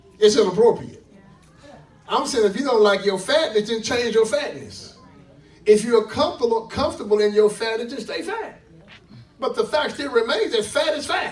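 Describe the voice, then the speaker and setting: Amid audible room echo and noticeable background noise, a man with an extremely high pitch and an animated tone speaks at a moderate pace, with ordinary pitch variation and long, frequent pauses. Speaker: preacher. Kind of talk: sermon.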